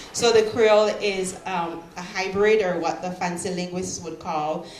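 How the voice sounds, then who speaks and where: A woman with a fairly low pitch speaks at a fairly slow pace with fairly even intonation. Audible room echo and noticeable background noise fill the recording. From Belize. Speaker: poet. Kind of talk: poetry reading with introduction. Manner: hesitant, many fillers.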